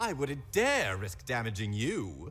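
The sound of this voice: A man does a cartoonish character voice with very wide pitch swings. His tone is fairly bright and his pace is slow. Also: medium pitch for a man.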